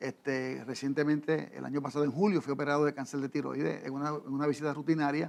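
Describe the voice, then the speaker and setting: Very fast speech in a monotone, flat intonation. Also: man, fairly high pitch for a man. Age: 60s. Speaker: pastor. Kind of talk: interview. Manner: halting.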